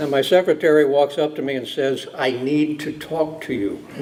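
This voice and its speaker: There is noticeable background noise. A man talks at a fairly high pitch. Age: 60s. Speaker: judge. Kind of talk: after-dinner speech. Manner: halting, frequent fillers.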